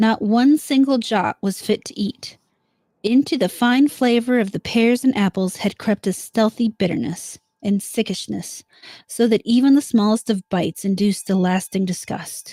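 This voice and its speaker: On a very clean recording with a silent background and dry, close sound with no echo, a woman speaks at a moderate pace in a somewhat breathy, dark, mellow tone, her pitch fairly high with ordinary variation. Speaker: live streamer. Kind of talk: horror story reading.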